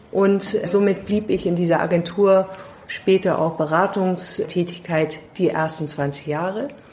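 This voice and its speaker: Noticeable background noise surrounds a woman with a fairly low pitch. She speaks fairly slowly, with fairly even intonation. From London, England. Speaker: leadership consultant. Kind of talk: interview. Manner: halting with many fillers.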